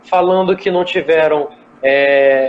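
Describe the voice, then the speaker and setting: Ordinary pitch variation from a man, with noticeable background noise behind. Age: 20s. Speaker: chef and gastronomy professor. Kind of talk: live online interview. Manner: casual, conversational.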